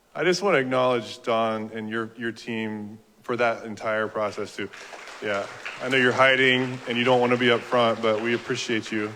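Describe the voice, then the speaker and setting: A man talks at a moderate pace with fairly even intonation over noticeable background noise. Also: medium pitch for a man. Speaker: county recovery office official, meeting host. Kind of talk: public meeting presentation. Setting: community meeting with audience.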